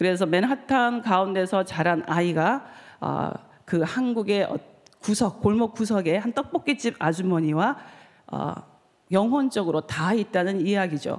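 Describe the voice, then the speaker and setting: With lively intonation and a medium pitch, a woman talks at a fairly slow pace. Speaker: novelist. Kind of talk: conference talk. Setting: stage with audience. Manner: halting.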